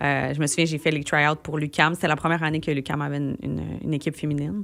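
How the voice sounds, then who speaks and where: Speaking at a very fast pace, a woman uses vocal fry at a very deep, low pitch. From Quebec, Gatineau (Outaouais). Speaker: singer-songwriter. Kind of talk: radio interview. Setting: radio studio. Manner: animated, casual with many fillers.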